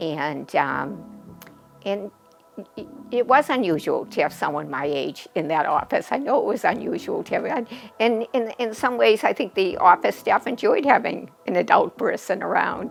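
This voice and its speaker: A woman is talking at a moderate pace. There is music in the background. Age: 70s. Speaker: orthodontic patient giving a testimonial. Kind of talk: testimony. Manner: halting.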